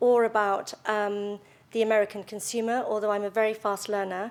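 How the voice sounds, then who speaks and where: A woman with a British accent, a fairly high pitch and monotone, flat intonation, at a moderate pace in a very clean recording with a silent background. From London, England. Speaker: retail executive. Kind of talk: speech. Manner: hesitant, many fillers.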